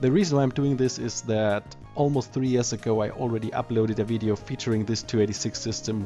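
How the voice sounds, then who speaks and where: Over music in the background, a man with a non-native accent talks at a very fast pace with hardly any pauses. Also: medium pitch for a man, ordinary pitch variation. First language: not English. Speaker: retro computer hobbyist. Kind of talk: hardware review narration.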